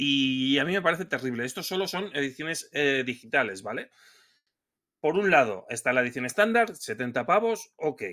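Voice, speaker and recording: Against a quiet background, a man with a fairly high pitch and a bright, sharp tone speaks at a moderate pace, his pitch swinging very widely. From Spain. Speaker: video game podcast co-host. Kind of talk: casual chat. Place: home room.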